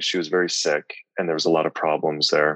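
Recorded dry and close with no echo, a man with a Midwestern US accent talks at a fairly quick pace. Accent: General American, Midwestern. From US Midwest (Lincoln, Nebraska). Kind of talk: interview, faith testimony.

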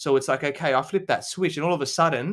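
A man with an Australian accent at a very fast pace, in a very clean recording with a silent background. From Adelaide, South Australia. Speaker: business coach and podcast host. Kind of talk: interview. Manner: hesitant, many fillers.

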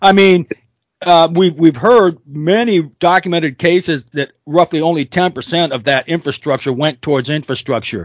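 In a dry, close sound with no echo, a man talks at a moderate pace and a high pitch, with an animated tone and ordinary pitch variation. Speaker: podcast host, private security contractor. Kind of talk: podcast interview, opinionated intro. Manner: animated, opinionated.

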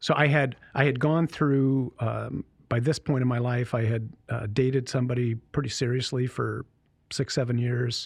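A somewhat breathy male voice at medium pitch, with monotone, flat intonation. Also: moderate pace. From Michigan, US. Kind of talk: casual interview, vocation story. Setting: studio.

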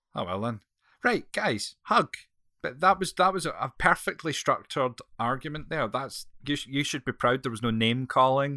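A man's bright, sharp, fairly high voice with a Scottish accent, lively intonation and a moderate pace, dry and close with no echo on a very clean recording with a silent background. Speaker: podcast host. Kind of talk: casual chat.

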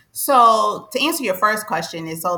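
Lively intonation marks this woman's normal speaking voice, delivered at a fairly quick pace. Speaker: financial coach. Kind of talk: interview.

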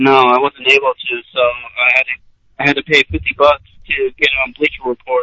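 A man speaks in a normal speaking voice at a medium pitch and moderate pace. The sound is dry and close, with no echo. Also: fairly even intonation. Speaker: caller, wrestling fan. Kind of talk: casual chat. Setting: phone call.

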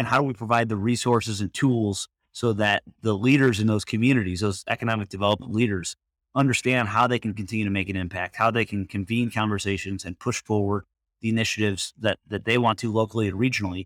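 A man with an American accent speaks at a very fast pace, with a fairly low pitch and fairly even intonation. The very clean recording has a silent background and a dry, close sound with no echo. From Michigan. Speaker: nonprofit organization CEO. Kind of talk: interview.

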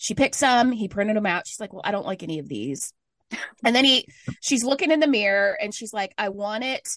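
A plain, everyday voice from a woman, medium in pitch with lively intonation, dry and close with no echo, quiet background. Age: 30s. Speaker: podcast co-host. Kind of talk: casual chat.

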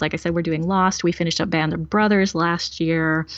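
Speaking at a medium pitch with ordinary pitch variation, a woman uses an unremarkable speaking voice. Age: 40s. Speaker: podcaster guest. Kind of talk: casual chat. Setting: remote call over Skype.

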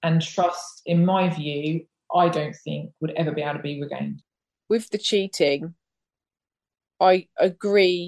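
A woman with an English accent talks at a fairly slow pace, her pitch fairly low and her intonation fairly even. She takes long, frequent pauses, and the sound is dry and close with no echo. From England. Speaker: former police officer. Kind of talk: interview.

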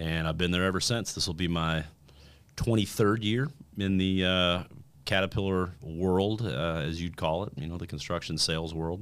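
A man's very deep, low voice in an American accent, at a moderate pace with ordinary pitch variation, on a very clean recording with a silent background. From Indiana, US Midwest. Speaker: kidney cancer survivor. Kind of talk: testimony.

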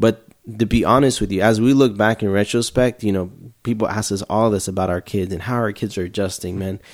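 In a very clean recording with a silent background, a man with an American accent speaks in an ordinary speaking voice, fairly low in pitch, at a fairly quick pace with fairly even intonation. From Houston, Texas. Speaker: overseas missionary. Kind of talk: casual interview.

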